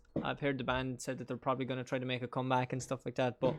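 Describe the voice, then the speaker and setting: This man speaks with a medium pitch. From Ireland, County Monaghan. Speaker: gaming streamer. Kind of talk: casual chat while gaming on stream. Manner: animated.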